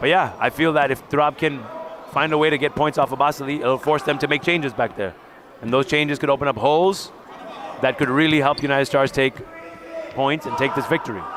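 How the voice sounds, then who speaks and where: A man with a New York accent at a fairly high pitch, very fast pace and long, frequent pauses, over noticeable background noise. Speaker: volleyball color commentator. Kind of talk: live sports commentary. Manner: animated.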